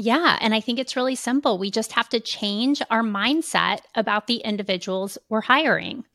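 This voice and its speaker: A woman with an American accent talks at a moderate pace in a fairly high voice with ordinary pitch variation and hardly any pauses; it is a plain, everyday voice. The recording is very clean with a silent background and a dry, close sound with no echo. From Kansas City, Missouri. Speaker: keynote speaker and consultant. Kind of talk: podcast interview.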